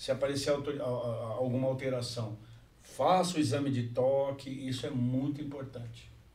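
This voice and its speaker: Amid audible room echo, a man speaks at a medium pitch and moderate pace with fairly even intonation. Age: 60s. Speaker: podcast co-host. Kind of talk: casual chat.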